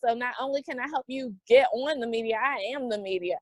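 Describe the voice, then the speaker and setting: Speaking fairly quickly at a high pitch, a woman with a Southern US accent is heard in a dry, close sound with no echo. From US South, Greensboro, North Carolina. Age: 40s. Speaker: entrepreneur and podcast guest. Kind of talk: interview conversation. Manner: animated.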